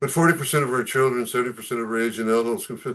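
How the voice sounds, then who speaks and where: A man talking at a very fast pace. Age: 70s. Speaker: doctor lecturing on tapering psychiatric medication. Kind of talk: lecture. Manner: conversational with many fillers.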